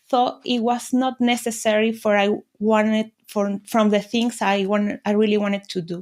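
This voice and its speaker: A woman with a Spanish accent, fairly high in pitch, at a moderate pace with monotone, flat intonation, in a very clean recording with a silent background. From Venezuela. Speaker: business mentor. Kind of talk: interview. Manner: halting.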